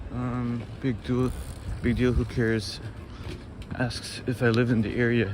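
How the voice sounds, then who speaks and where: A soft-spoken man with a medium-pitched, monotone voice talks fairly slowly with long, frequent pauses, amid noticeable background noise and audible room echo. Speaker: walking tour live streamer. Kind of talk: casual live stream chat. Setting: outdoors.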